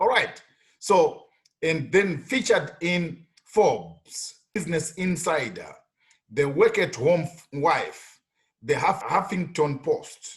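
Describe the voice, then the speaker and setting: This man's high voice carries lively intonation as he talks very slowly. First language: not English. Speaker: online money-making tutorial youtuber. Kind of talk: screen-share tutorial. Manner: repetitive, stammering fillers.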